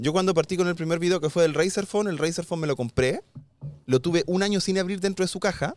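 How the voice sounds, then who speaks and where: A man with a high-pitched voice talks at a very fast pace, broken by long, frequent pauses, with ordinary pitch variation and a dry, close sound with no echo. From Chile. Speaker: tech youtuber. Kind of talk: casual chat. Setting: outdoors.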